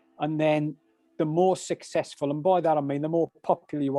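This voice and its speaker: A man with a Birmingham accent speaks at a fairly high pitch in a dark, mellow tone, his intonation monotone and flat. The sound is dry and close with no echo, over a quiet background. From English Midlands, Birmingham. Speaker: meditation teacher. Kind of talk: casual interview chat. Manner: halting, many repetitions.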